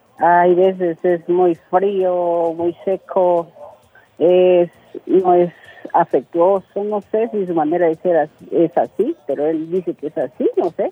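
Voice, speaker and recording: A woman with a Peruvian accent, fairly low in pitch, with fairly even intonation and a very slow pace. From Peru, Loreto region. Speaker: caller. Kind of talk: casual chat. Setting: phone call. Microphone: poor line, hard to hear.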